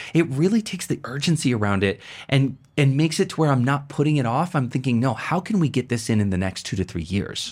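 Very clean recording, silent background. A man talks at a very fast pace with very wide pitch swings. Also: medium pitch for a man. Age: 40s. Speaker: podcast host and productivity coach. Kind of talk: casual chat. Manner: animated.

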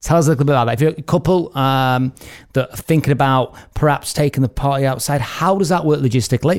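Speaking at a very fast pace, a man uses ordinary pitch variation. The sound is dry and close with no echo. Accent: English. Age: 40s. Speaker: wedding host and podcast host. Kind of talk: casual chat.

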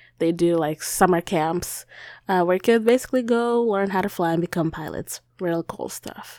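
With a non-native accent, a woman talks at a moderate pace and medium pitch, with ordinary pitch variation, on a very clean recording with a silent background. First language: not English. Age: 20s. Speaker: podcast host. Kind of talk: casual monologue. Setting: home recording. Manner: animated.

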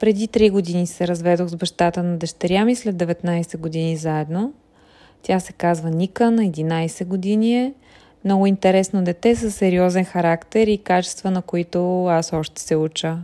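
A woman's fairly low, dark, mellow voice at a moderate pace, with fairly even intonation, in a very clean recording with a silent background. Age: 40s. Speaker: blogger. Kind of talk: personal audio diary monologue. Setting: in a car.

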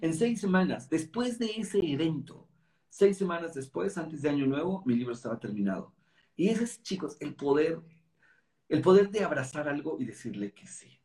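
Very wide pitch swings run through this man's fairly high voice, which has a dark, mellow tone. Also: moderate pace, big swings in loudness. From Mexico City. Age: 50s. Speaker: network marketing leader and author. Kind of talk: interview conversation. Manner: animated.

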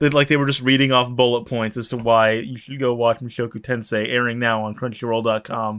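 Monotone, flat intonation at a fairly quick pace with hardly any pauses. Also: man, medium pitch for a man. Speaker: podcast host. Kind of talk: casual chat.

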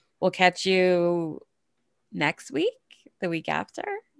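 A woman talks with an American accent. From Massachusetts. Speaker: podcast co-host. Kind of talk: casual chat.

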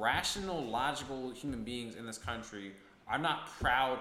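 With an American accent and medium pitch, a man talks at a fairly slow pace amid audible room echo. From upstate New York (Ithaca). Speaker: podcast host. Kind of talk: casual chat.

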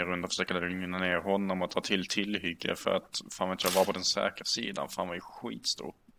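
This man has a very deep, low voice. He talks at a fairly quick pace. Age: 20s. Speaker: podcast guest. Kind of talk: casual chat.

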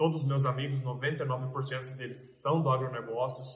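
A medium-pitched man at a fairly slow pace, flat and monotone, with audible room echo and noticeable background noise. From Mato Grosso, Brazil (Sorriso). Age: 20s. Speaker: farm real estate broker. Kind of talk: casual vlog monologue. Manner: hesitant, many filler sounds.

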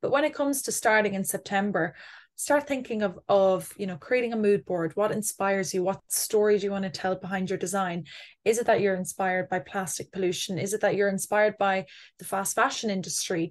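A woman speaks at a fairly quick pace with an Irish Midlands accent, her medium pitch showing ordinary variation against a quiet background. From Ireland, Athlone, County Westmeath. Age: 20s. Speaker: communications executive. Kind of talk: interview.

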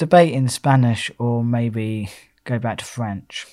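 In an English accent, a man speaks at a medium pitch and a very slow pace. The recording is very clean, with a silent background. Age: 20s. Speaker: podcast co-host. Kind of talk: casual chat.

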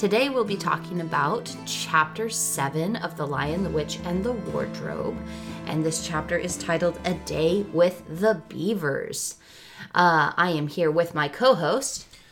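With music in the background, a fairly low-pitched woman speaks at a fairly slow pace with lively intonation. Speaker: podcast co-host.

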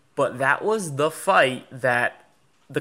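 The man's voice has a bright, sharp tone. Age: 20s. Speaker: trading podcast co-host. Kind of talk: casual chat.

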